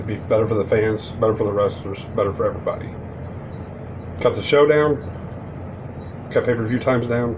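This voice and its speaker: The speech moves at a fairly quick pace, broken by long, frequent pauses. Noticeable background noise sits behind it. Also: man, medium pitch for a man, fairly even intonation. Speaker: wrestling commentary YouTuber. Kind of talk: casual vlog commentary. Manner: fast; stumbling over words.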